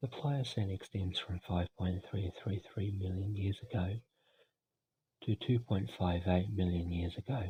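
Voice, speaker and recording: A soft-spoken, somewhat breathy voice with an Australian accent and long, frequent pauses. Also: man. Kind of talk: ASMR educational reading.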